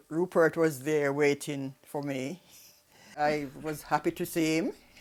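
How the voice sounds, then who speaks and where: At a fairly slow pace, a woman speaks in a flat monotone with a very deep, low voice. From Jamaica. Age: 80s+. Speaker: elderly migrant telling her life story. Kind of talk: oral history interview. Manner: halting, with hesitations.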